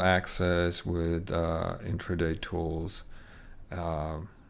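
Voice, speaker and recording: In a room with audible echo, a man talks very slowly with a very deep, low pitch. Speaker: trading educator. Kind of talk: tutorial. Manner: halting, many fillers.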